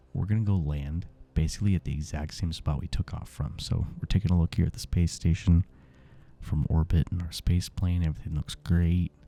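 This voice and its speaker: A soft-spoken man with a very deep, low pitch, a calm tone, ordinary pitch variation and a moderate pace. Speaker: gaming ASMR creator. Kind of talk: soft-spoken gaming commentary. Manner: calm, soft-spoken.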